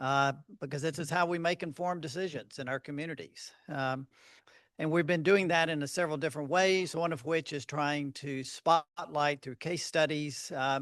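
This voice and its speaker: The speaker has an American accent and a fairly even intonation at a moderate pace. The sound is dry and close with no echo, over a quiet background. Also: man, fairly high pitch for a man. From Texas, Fort Worth. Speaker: journalist and editorial adviser. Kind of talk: speech introducing a keynote speaker. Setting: luncheon event with audience.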